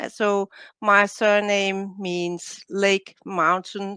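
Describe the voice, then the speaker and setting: Recorded very cleanly against a silent background with a dry, close sound and no echo, a woman with a Danish accent speaks at a medium pitch in a bright, sharp tone. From Denmark. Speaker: biologist and coach, author. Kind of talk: interview.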